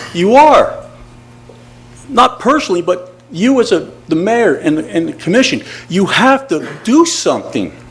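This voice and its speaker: A man speaks with a high pitch. Noticeable background noise runs underneath. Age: 60s. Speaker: retired army engineer, resident speaking at public comment. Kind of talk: public comment at city commission meeting. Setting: city commission meeting. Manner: emotional, halting with repetitions.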